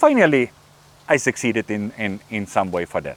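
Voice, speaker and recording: A man speaks with a German accent at a moderate pace. The sound is dry and close, with no echo. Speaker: YouTuber. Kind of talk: casual behind-the-scenes talk to camera. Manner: halting, many fillers and repeated words.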